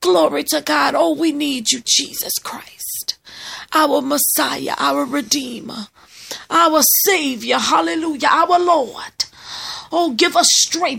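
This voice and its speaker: Over noticeable background noise, a woman talks very slowly in a high pitch, her voice making very wide pitch swings. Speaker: prayer leader. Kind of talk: fervent intercessory prayer, charismatic and pleading, with praise shouts. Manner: impassioned, urgent, rising and exclamatory, with emphatic repeated cries of 'Oh God'; rhythmic, declarative, preacher-like cadence.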